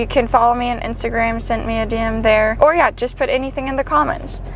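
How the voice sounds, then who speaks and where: A woman talks at a fairly quick pace in a high pitch with ordinary pitch variation. Noticeable background noise sits behind her. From Germany. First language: German. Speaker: PhD student, vlogger. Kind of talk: casual vlog chat.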